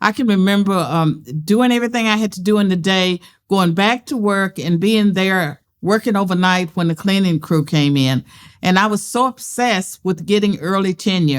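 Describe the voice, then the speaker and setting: With a Southern US accent, a woman talks at a moderate pace. Her pitch varies in an ordinary way. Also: medium pitch for a woman, very even loudness, very clean recording, silent background. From US South. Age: 70s. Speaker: political scientist and author. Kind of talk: interview conversation. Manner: direct.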